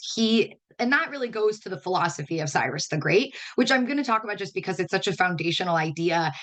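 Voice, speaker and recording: A woman talks at a very fast pace with a medium pitch and lively intonation. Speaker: educator. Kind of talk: webinar lecture. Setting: online webinar.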